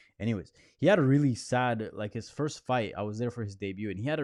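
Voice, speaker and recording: A man speaks with a Spanish accent at a fairly low pitch. His pace is fairly quick against a quiet background. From Colombia. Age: 20s. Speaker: MMA journalist. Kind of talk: live Q&A stream. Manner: casual, filler-heavy.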